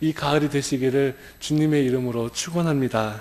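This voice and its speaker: Noticeable background noise behind a man with lively intonation. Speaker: pastor. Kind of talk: sermon. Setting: church. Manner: shaky, stumbling over words.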